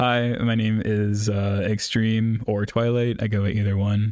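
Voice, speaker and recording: A man with an American accent speaks at a fairly slow pace and a fairly low pitch, with monotone, flat intonation and very even loudness, on a very clean recording with a silent background. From US Midwest, Ohio. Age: 20s. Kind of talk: casual chat. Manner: halting.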